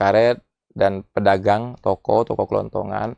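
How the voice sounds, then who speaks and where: Heard in a dry, close sound with no echo, a man with a strong Bangka accent talks at a moderate pace with fairly even intonation. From Bangka island, Indonesia. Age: 40s. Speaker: politician, regional head candidate. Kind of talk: interview.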